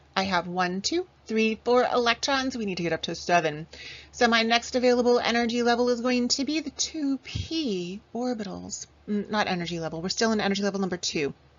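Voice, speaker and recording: With an animated tone and lively intonation, a woman speaks fairly quickly at a fairly high pitch. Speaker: chemistry teacher. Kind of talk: lecture.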